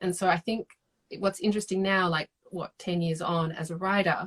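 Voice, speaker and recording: A woman with an Australian accent speaks at a moderate pace and medium pitch with fairly even intonation, in a dry, close recording without echo. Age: 30s. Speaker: novelist. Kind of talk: casual chat. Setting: video call.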